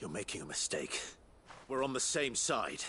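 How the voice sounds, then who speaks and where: A man puts on a character voice at a moderate pace while clear background noise carries on. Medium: video game. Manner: steady, restrained.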